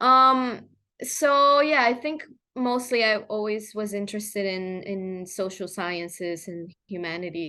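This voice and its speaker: A woman with a Spanish accent speaks fairly slowly in a medium pitch, her tone bright and sharp. Her intonation is lively, her loudness rises and falls a lot, and the background is quiet. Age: 20s. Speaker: journalist. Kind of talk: interview conversation. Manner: halting, many fillers.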